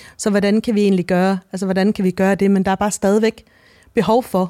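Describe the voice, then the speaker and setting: A woman speaks at a medium pitch with a dark, mellow tone and monotone, flat intonation. The recording is very clean and dry, close with no echo and a silent background. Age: 40s. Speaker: novelist. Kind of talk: interview. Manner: halting.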